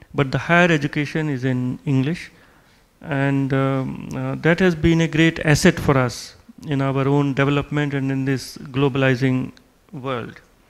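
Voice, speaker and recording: A man with an Indian accent speaks at a fairly high pitch. His pace is moderate and his intonation fairly even. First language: Hindi. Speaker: diplomat. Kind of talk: lecture. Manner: halting, with many fillers.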